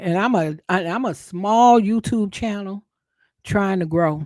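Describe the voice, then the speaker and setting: Someone with a Southern accent speaks on a very clean recording with a silent background. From US South. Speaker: YouTube content creator, live streamer. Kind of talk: live stream commentary reading news updates. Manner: casual, conversational.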